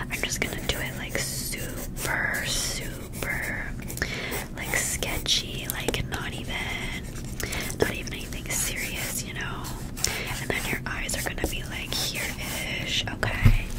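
Loud background noise surrounds the recording. A woman talks over it at a fairly slow pace. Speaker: ASMR creator. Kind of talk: soft-spoken ASMR roleplay. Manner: gentle whispered ASMR narration. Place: home room. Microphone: studio mic.

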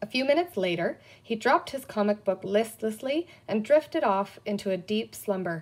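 Intonation here is lively. The passage is read aloud in a natural voice.

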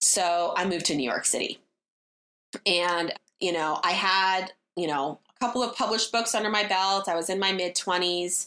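The voice has an American accent and a bright, sharp tone at a moderate pace. Loudness is very even, and pitch varies in an ordinary way. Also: woman, medium pitch for a woman. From US West Coast, Berkeley, California. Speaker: designer and entrepreneur. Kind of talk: casual interview. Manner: animated.

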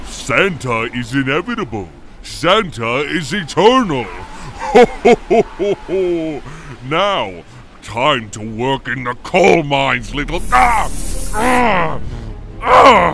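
Using a put-on character voice, a man speaks very slowly at a fairly high pitch with very wide pitch swings. Clear background noise runs underneath.

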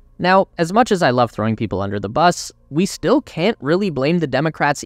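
In a Canadian accent, a man with an unremarkable speaking voice talks at a fairly high pitch with lively intonation, recorded dry and close with no echo. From Canada. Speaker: YouTube tech channel narrator. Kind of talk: scripted narration.

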